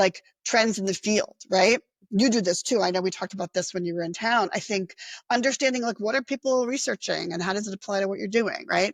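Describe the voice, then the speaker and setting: A woman speaks fairly quickly in a plain, everyday voice, her medium pitch showing ordinary pitch variation, in a very clean recording with a silent background and a dry, close sound with no echo. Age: 60s. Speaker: nonprofit executive director and social worker. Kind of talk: interview. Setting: podcast interview.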